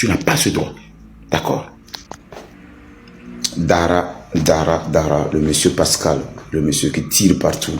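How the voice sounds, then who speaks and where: A man with a very deep, low pitch and ordinary pitch variation, very slow with long, frequent pauses, amid noticeable background noise and audible room echo. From Togo. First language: a Togolese language (speaking French). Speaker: online commentator. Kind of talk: heated rant. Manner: animated.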